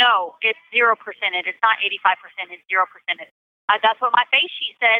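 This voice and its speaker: With an ordinary speaking voice, a woman talks at a moderate pace and fairly high pitch, hardly any pauses, ordinary pitch variation and big swings in loudness. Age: 30s. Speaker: prison inmate. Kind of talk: interview.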